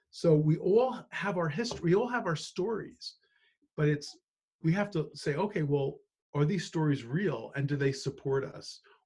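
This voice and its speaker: An ordinary speaking voice from a man, fairly high in pitch, with lively intonation at a moderate pace. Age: 60s. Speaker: financial planner. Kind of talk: interview.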